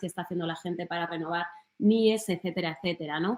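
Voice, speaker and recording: A woman with a Madrid accent speaks very fast at a medium pitch, her intonation fairly even. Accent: Madrid-area Spanish (Alcorcón). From Spain, Alcorcón (Madrid). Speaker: journalist. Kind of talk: talk. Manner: hesitant, with fillers.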